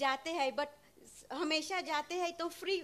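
A woman is speaking. There is light background noise behind her. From Suriname. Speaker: nurse. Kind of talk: devotee's audience question. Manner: halting. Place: hall. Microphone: handheld.

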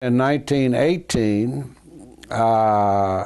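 A man speaks at a fairly low pitch with ordinary pitch variation against a quiet background. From Kentucky. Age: 80s+. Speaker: oral history interviewee. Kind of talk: oral history interview answer. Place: home room.

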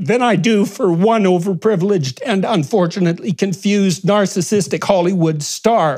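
A man speaks at a high pitch with hardly any pauses over a quiet background. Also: ordinary pitch variation, moderate pace, very even loudness. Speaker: commentator. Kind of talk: interview answer. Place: home room. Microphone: lapel.

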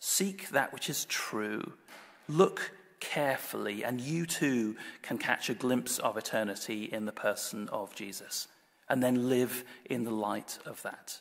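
A man with a normal speaking voice and medium pitch talks at a fairly slow pace, with ordinary pitch variation. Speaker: Anglican priest giving a sermon. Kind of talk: church sermon delivered to a congregation. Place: church. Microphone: podium.

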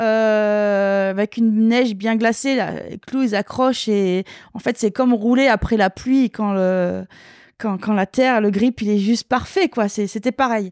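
Fairly slow speech with ordinary pitch variation, a dry sound with no echo and a quiet background. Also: woman. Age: 40s. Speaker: retired downhill mountain bike champion; guest. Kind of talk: interview. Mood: relaxed, storytelling. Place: home room. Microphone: handheld.

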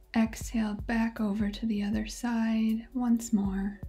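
Over faint music in the background, a woman speaks at a very slow pace. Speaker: yoga instructor. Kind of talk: guided yoga instruction. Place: home room.

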